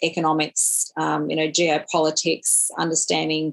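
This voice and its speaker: A woman talks with an Australian accent. Her pace is very slow. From regional Australia. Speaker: professor and digital technology entrepreneur. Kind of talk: interview. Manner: hesitant with many fillers.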